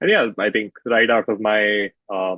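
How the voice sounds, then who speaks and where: Speaking at a fairly slow pace, a man with a fairly low pitch talks in an Indian accent. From India (north and west). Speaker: marketing agency co-founder. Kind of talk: podcast interview.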